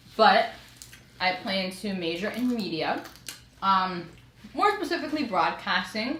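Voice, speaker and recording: A woman with a New York accent talks at a fairly slow pace, her medium-pitched voice lively in intonation and broken by long, frequent pauses. Noticeable background noise and audible room echo fill the recording. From New York, the Bronx. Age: young. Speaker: college student. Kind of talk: casual chat.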